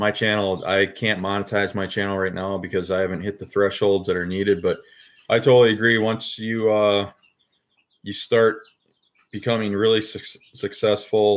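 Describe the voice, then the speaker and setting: Delivered in an Upper Midwest US accent, the speech keeps a moderate pace and a monotone, flat intonation. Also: man, fairly low pitch for a man. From Wisconsin. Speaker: YouTuber, toy collector live streamer. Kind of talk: casual live stream chat.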